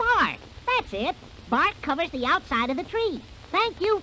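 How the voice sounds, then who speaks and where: A put-on character voice at extremely high pitch with very wide pitch swings, a moderate pace and clear background noise. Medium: read story.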